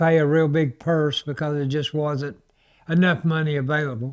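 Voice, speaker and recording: This man has a Southern US accent and a fairly high pitch, speaking at a moderate pace. The recording is very clean, with a silent background. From US South, Florida Panhandle (Panama City). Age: 70s. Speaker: retired race car driver. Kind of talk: interview storytelling. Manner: halting, with fillers.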